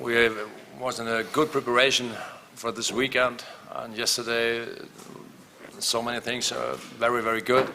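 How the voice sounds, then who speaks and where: A man speaks at a moderate pace and a medium pitch in a flat, monotone delivery, with long, frequent pauses, audible room echo and noticeable background noise. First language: not English. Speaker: handball coach. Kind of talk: press conference. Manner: halting.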